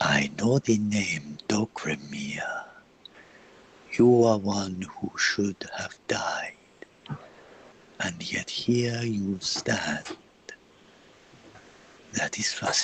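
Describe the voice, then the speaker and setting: In a put-on character voice, a man talks at a very slow pace and a fairly low pitch, with long, frequent pauses. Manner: powerful, resonant.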